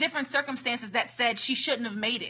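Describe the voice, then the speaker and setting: A woman speaks in a high voice. Her tone is animated. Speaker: motivational speaker and livestreamer. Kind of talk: live motivational talk. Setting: livestream. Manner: fast.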